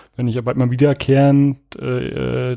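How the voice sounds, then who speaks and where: Dark and mellow in tone, this voice keeps a moderate pace. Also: man. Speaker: podcast host. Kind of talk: casual chat.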